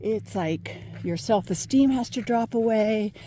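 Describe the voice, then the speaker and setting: Speaking at a fairly slow pace, a woman has a medium-pitched, somewhat breathy voice with a dark, mellow tone and ordinary pitch variation. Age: 70s. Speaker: former professor and meditation teacher. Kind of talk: casual vlog monologue. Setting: outdoors on a walk.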